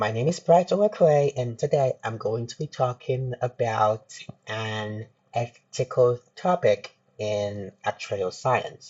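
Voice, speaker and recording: A man at a very slow pace, medium-pitched and somewhat breathy, with lively intonation. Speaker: university student. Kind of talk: class presentation. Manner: halting.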